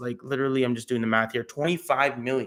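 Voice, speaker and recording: A man's fairly high voice with a bright, sharp tone. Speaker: crypto YouTuber. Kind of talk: live stream commentary. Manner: casual, relaxed; occasional stumbling over words.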